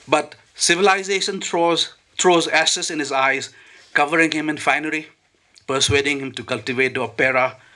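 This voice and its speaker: A man with a fairly high pitch speaks at a moderate pace with ordinary pitch variation in an ordinary speaking voice. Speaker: poet reading his own poem. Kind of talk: poetry reading at a literary event.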